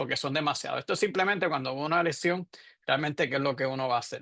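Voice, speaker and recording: Man's voice, bright and sharp in tone, with fairly even intonation, dry and close with no echo, against a quiet background. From Puerto Rico. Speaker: radiologist, professor. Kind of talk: lecture. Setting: webinar. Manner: halting, with fillers and self-corrections.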